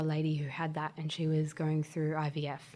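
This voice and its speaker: The speaker is soft-spoken, with an Australian accent. The tone is dark and mellow. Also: woman. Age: 20s. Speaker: childcare worker, former mechanic. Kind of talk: interview about mental health. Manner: calm.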